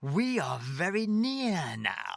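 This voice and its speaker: A put-on character voice delivers its lines at a middle pitch. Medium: read story. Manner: terse, cryptic.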